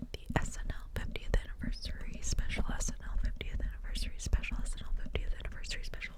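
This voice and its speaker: A woman's very fast whisper with hardly any pauses, against noticeable background noise. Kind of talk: ASMR whisper ramble. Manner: whispered.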